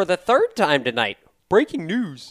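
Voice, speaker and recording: This put-on character voice sits at a middle pitch and swings very widely up and down. It moves at a moderate pace. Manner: dramatic, announcer-like.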